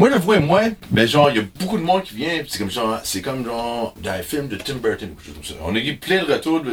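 A man with an Ontario accent speaks at a fairly quick pace and a fairly high pitch, his pitch swinging very widely. His loudness swings a lot too, over noticeable background noise. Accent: Franco-Ontarian accent, says he has one. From Ontario (francophone, Timmins area). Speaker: musician, member of the band. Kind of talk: casual chat. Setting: backstage dressing room. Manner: halting, repeats words.

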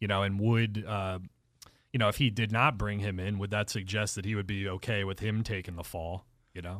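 In an American accent, the speech moves at a fairly quick pace with a monotone, flat intonation. The recording is very clean, with a silent background. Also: man, fairly low pitch for a man. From southeastern Pennsylvania. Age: 30s. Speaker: sports podcast panelist. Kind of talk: casual chat. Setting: studio.

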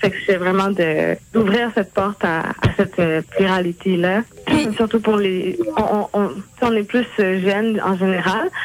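A woman at a medium pitch and very slow pace, ordinary pitch variation and very even loudness, with noticeable background noise. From Quebec, Montreal and Terrebonne, Haitian family. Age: 20s. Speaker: blog contributor. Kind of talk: interview.

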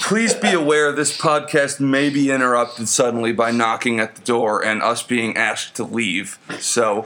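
With an animated tone and ordinary pitch variation, a man speaks at a moderate pace over noticeable background noise. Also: medium pitch for a man, hardly any pauses. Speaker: podcast host. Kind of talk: crude comedic banter, drunk. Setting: late-night recording in San Antonio. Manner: profane, joking, animated.

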